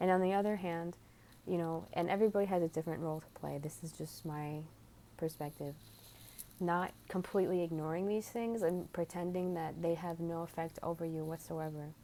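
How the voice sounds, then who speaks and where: A woman talks at a fairly quick pace. Her pitch is fairly low and her intonation fairly even. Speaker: spiritual video creator. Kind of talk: spiritual talk to camera. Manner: earnest, heartfelt.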